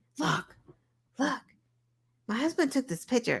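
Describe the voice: A woman puts on a character voice in a Boston accent, pitched high. She keeps a moderate pace.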